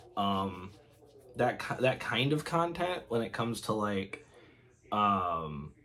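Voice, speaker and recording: Over noticeable background noise, a man speaks very slowly with long, frequent pauses, his fairly low voice swinging very widely in pitch. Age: 20s. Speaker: youtuber and field machinist apprentice. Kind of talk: casual vlog talk to camera. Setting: game room at home. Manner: halting, many fillers and restarts.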